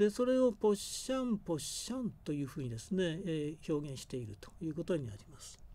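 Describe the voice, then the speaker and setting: With a dark, mellow tone, the speaker moves at a fairly quick pace with hardly any pauses, very wide pitch swings, and big swings in loudness. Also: man, high pitch for a man. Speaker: university professor of Japanese linguistics. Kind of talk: lecture. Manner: halting with frequent fillers.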